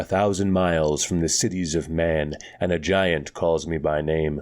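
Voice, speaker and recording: A man's put-on character voice, very deep and low in pitch, with fairly even intonation and very even loudness. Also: moderate pace. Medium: read story. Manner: level, terse.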